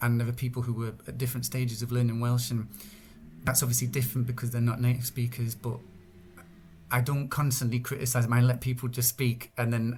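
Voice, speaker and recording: Somewhat breathy, a man with an English accent talks at a very fast pace and medium pitch. His intonation is monotone and flat. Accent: English accent when speaking English. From northern England. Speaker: Welsh language translator and activist. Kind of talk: podcast interview. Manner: halting, many repetitions and fillers.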